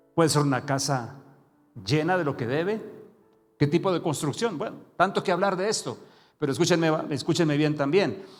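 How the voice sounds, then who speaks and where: Audible room echo surrounds a man talking at a moderate pace, his pitch fairly high with ordinary variation. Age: 60s. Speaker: preacher. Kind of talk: sermon.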